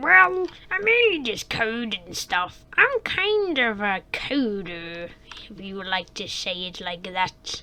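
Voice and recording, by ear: The clip features a croaky, female-sounding put-on character voice. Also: medium pitch for a woman, fairly slow pace.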